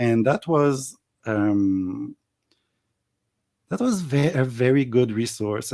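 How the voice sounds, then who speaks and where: A man with a French accent speaks in a dark, mellow tone, with ordinary pitch variation and long, frequent pauses, on a very clean recording with a silent background. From Montreal, Quebec. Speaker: YouTuber, tarot reader. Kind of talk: casual interview chat. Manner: loud, passionate; halting.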